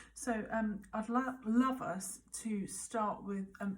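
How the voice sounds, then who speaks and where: Her pitch sits fairly high for a woman, with fairly even intonation. The voice is somewhat breathy. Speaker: birth coach. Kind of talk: guided mindfulness coaching talk to camera. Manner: calm, gentle, measured.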